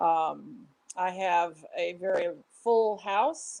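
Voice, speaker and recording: A woman is speaking. Her intonation is lively. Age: 60s. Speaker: fan club member, former club leader. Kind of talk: interview. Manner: halting.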